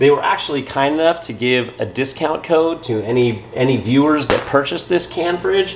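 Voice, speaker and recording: Light background noise sits under a man who talks at a moderate pace. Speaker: home brewer vlogger. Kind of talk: casual vlog chat. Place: garage. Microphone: phone near.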